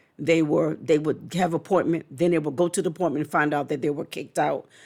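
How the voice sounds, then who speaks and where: Her intonation holds fairly even. The speaker is a woman. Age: 60s. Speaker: vlogger, caregiver. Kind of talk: casual vlog monologue. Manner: hesitant, many fillers.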